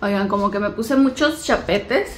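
A woman speaks fairly quickly, with light noise in the background. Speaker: home vlogger. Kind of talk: casual vlog chat. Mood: cheerful, upbeat. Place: home room. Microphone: phone near.

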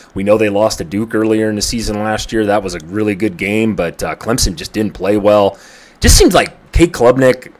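The man's fairly low voice moves along at a moderate pace. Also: ordinary pitch variation. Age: 30s. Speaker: college football betting youtuber. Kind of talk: casual solo commentary; casual commentary. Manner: rambling, filler-heavy. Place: home room.

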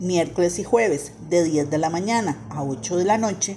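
Slowly and with ordinary pitch variation, a woman speaks at a fairly low pitch in a dark, mellow tone.

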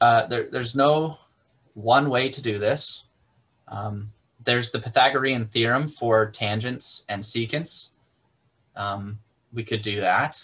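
Speaking at a fairly slow pace, a man leaves long, frequent pauses. His pitch varies in an ordinary way. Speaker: math instructor. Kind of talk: lecture. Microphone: video call.

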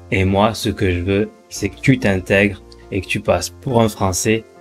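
Faint music sits behind a man whose fairly low voice shows ordinary pitch variation. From France. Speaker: French teacher. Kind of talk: language lesson to camera. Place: home room. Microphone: studio mic.

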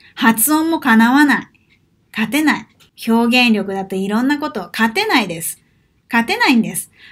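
Her pitch fairly high, a woman talks with lively intonation at a moderate pace. The background is quiet. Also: big swings in loudness. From Japan. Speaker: Portuguese language teacher and vlogger; Portuguese language teacher, vlogger. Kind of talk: vlog monologue. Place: home room. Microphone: webcam.

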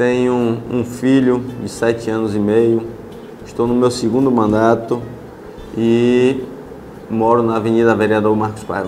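Monotone, flat delivery from a man at a fairly slow pace, with long, frequent pauses and light background noise. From Brazil, Ilhéus, Bahia; Bahia, Brazil. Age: 30s. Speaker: city councillor. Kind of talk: interview. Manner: halting. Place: office. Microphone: lapel.

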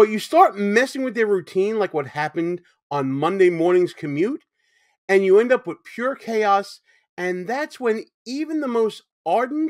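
Over a quiet background, a man with a high pitch speaks at a moderate pace with very wide pitch swings. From New York City. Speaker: YouTube show host. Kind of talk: commentary. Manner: conversational, opinionated. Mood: critical, indignant. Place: home room.

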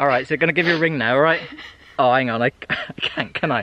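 Speaking fast, a man uses a medium pitch with ordinary pitch variation.

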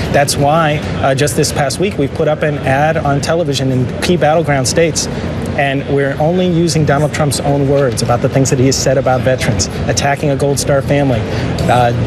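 Loud background noise sits behind a man speaking at a fairly quick pace. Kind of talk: interview answer. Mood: defensive, measured. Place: street. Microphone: lapel.

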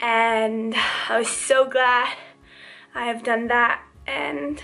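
The pace is very slow. A woman is the one speaking. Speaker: travel vlogger. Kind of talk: casual vlog chat. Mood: relaxed, happy wrap-up. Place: home room. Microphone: phone near.

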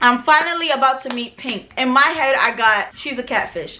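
A woman with a New York accent speaks at a high pitch over light background noise. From New York City. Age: 20s. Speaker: vlogger. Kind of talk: storytime talk to camera. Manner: casual, profane. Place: home room.

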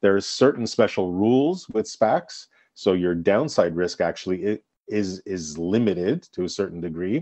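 A man with an ordinary speaking voice, fairly low pitch, ordinary pitch variation and moderate pace. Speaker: guest co-host, business executive. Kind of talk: radio interview.

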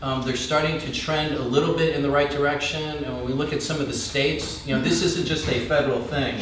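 Delivered at a very fast pace in a monotone, flat intonation, the speech carries audible room echo and light background noise. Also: man. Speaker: panel expert on infrastructure. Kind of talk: panel discussion answer. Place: stage.

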